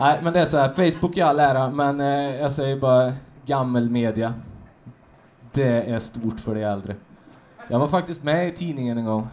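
Fairly high male speech at medium speed, long and frequent pauses throughout, pitch varying normally. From Karlstad, Värmland; Sweden. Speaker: comedian. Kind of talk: stand-up; interview. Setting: stage with audience. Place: bar. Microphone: handheld.

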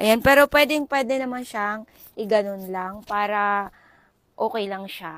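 On a very clean recording with a silent background, a woman's fairly high voice moves at a fairly slow pace with lively intonation in a dry, close sound with no echo. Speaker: content creator. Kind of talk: product review vlog. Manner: casual, chatty.

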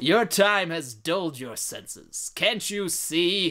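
A man's put-on character voice, high-pitched and projected loudly, with lively intonation at a fairly slow pace. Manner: menacing, stern.

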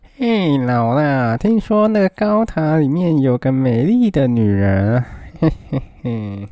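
Delivered in a put-on character voice, the speech sits at a low-to-middle pitch and moves fairly slowly.

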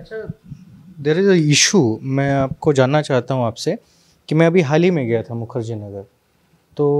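A man speaks fairly slowly in a plain, everyday voice with a fairly high pitch. His intonation is lively, and the background is quiet. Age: 20s. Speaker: interviewer. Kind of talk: interview. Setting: on location. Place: office. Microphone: handheld.

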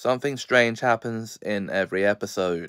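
The voice shows ordinary pitch variation over a quiet background. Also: man. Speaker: video reviewer. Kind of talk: review commentary. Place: home room. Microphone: phone near.

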